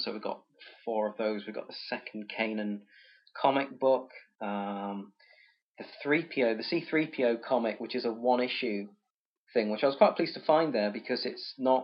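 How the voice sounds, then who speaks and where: A man speaks at a moderate pace with medium pitch and ordinary pitch variation. He has a normal speaking voice. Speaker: podcast host. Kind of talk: casual chat.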